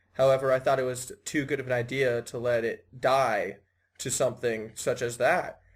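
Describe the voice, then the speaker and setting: Somewhat breathy tones come from a man. He speaks in an American accent. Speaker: podcast host and organizer. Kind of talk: casual self-introduction.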